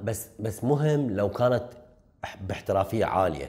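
A man's pitch varies in an ordinary way, with a quiet background behind him. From southern Iraq (Nasiriyah, Dhi Qar); Iraq. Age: 30s. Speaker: film director; guest. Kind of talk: interview. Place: studio. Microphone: lapel.

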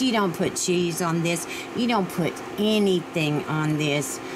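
Over noticeable background noise, a woman speaks at a fairly low pitch with ordinary pitch variation. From Virginia. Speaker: home cooking vlogger. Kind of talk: cooking tutorial. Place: kitchen. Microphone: camera far.

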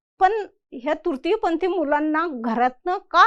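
A woman speaks with an extremely high pitch. Her pitch variation is ordinary. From Khandesh, Dhule district, Maharashtra. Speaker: social worker, NGO founder. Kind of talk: motivational talk.

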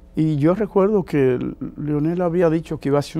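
A moderate pace and a dark, mellow tone from a man. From Dominican Republic. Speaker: diplomat and religious leader; interview guest. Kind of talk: interview. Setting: TV studio. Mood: warm, enthusiastic. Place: studio.

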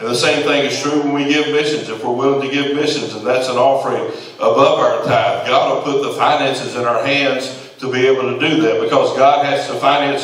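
There is light background noise and audible room echo. A man talks at a moderate pace. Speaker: preaching pastor. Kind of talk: sermon. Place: church.

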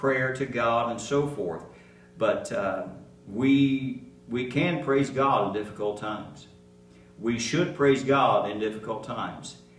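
A man's voice carries an audible room echo. Music plays in the background. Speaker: pastor. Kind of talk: sermon. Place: church. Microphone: podium.

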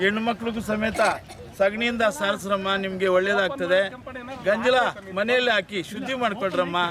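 A man's high-pitched voice, with fairly even intonation, comes through noticeable background noise. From Chintamani taluk, Karnataka, India. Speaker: retired government employee and cattle breeder. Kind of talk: interview at a cattle fair.

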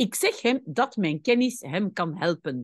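A woman's medium-pitched voice swings very widely in pitch, recorded with a dry, close sound and no echo. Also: quiet background. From Belgium. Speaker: language teacher. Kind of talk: tutorial. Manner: didactic, explaining.

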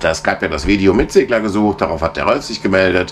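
A man's very deep, low pitch over light background noise. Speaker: sailing vlogger. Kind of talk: casual vlog chat. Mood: relaxed, cozy evening. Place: boat. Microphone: phone near.

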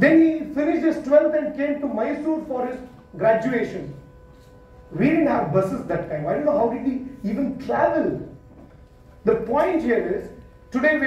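Here a man speaks with a Kannada accent at a moderate pace. Audible echo fills the room. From Karnataka, India (Thirthahalli, near Shivamogga); Karnataka, India. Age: 30s. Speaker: entrepreneur and CEO, guest speaker; guest. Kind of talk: motivational talk to students. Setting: college auditorium with student audience. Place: hall. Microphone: handheld.

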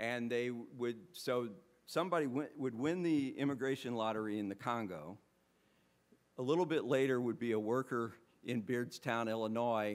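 A man is speaking. He keeps a moderate pace with ordinary pitch variation. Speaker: history professor and author; history professor. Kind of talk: book launch talk. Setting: bookstore event with live audience. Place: hall. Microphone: podium.

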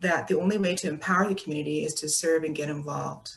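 A woman speaks at a very fast pace. Her intonation stays fairly even. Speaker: moderator. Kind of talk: moderated Q&A. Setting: video call. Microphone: video call.

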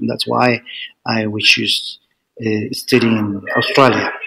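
A man speaks with a Spanish accent. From Chile. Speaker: PhD student. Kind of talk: interview. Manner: halting.

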